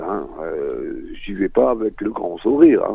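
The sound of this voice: Low-pitched and fairly slow, a man speaks with vocal fry. His pitch swings widely.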